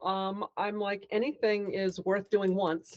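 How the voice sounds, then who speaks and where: The voice belongs to a woman. Its pitch is medium. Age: 60s. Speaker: amateur athlete. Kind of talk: interview. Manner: hesitant.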